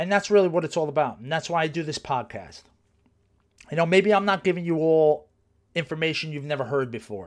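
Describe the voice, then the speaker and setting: A man speaks at a fairly quick pace with a New Jersey accent, his pitch fairly high and its variation ordinary. The recording is very clean, with a silent background. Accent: New Jersey American. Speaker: podcast host, personal trainer. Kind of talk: casual monologue. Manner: conversational, many fillers.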